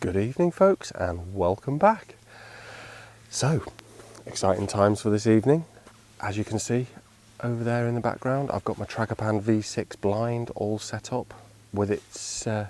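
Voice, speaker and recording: A quiet voice with a British accent at a moderate pace, long, frequent pauses and ordinary pitch variation, over noticeable background noise. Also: man, fairly low pitch for a man. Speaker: wildlife photographer. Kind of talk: vlog narration. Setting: outdoors.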